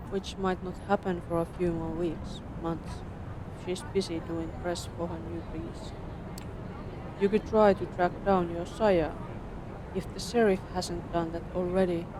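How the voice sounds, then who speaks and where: The speech is fairly slow, broken by long, frequent pauses. Noticeable background noise runs underneath. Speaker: vtuber streamer. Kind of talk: reading game text aloud. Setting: live stream.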